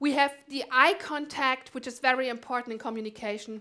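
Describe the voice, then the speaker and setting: A woman's raised, projected voice, high in pitch, with a bright, sharp tone, ordinary pitch variation and a German accent. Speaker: conference speaker. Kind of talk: conference talk.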